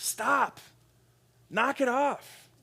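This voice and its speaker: A put-on character voice at a high pitch. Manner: firm, commanding.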